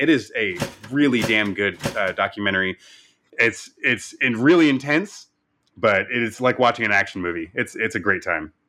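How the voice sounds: Putting on a character voice, a man sounds excited and raspy at a medium pitch and a moderate pace.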